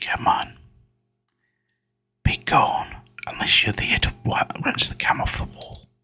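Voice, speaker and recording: A man whispers at a very slow pace. He leaves long, frequent pauses. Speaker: gaming youtuber. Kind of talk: let's play commentary. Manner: whispering.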